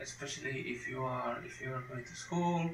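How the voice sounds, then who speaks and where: A man with a non-native accent talks at a fairly slow pace with ordinary pitch variation, amid audible room echo and noticeable background noise. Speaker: Bible teacher. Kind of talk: lecture. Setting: home recording at computer. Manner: halting, with frequent repetitions.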